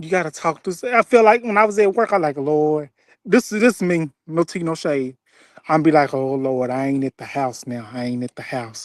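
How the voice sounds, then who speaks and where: A moderate pace with a Southern US accent against a quiet background. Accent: Southern twang. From Mississippi. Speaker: former grocery store worker. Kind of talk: casual chat.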